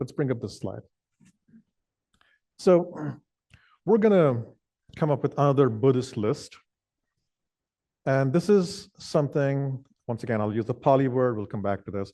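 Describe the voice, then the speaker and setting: In a Kannada accent, a man with a medium pitch and dark, mellow tone speaks at a moderate pace with lively intonation and long, frequent pauses. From southwestern India (Karnataka). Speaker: meditation teacher. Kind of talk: dharma talk. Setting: meditation hall with audience.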